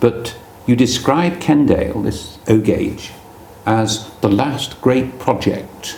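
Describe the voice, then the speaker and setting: Someone with an English accent speaks at a very slow pace with ordinary pitch variation. Noticeable background noise and audible room echo surround the voice. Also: man, medium pitch for a man. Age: 60s. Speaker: magazine presenter interviewing a modeller. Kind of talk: casual interview. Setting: at the guest's home.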